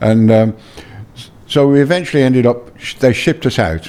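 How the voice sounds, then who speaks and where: A man talks with a Birmingham accent. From England, Birmingham. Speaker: former tour manager. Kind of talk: interview. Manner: halting, many fillers and repeats.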